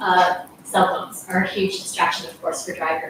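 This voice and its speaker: A woman with an American accent at a medium pitch and a moderate pace, with audible room echo. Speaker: resident speaking at public comment. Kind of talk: public comment at council meeting. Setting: council meeting chamber. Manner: halting.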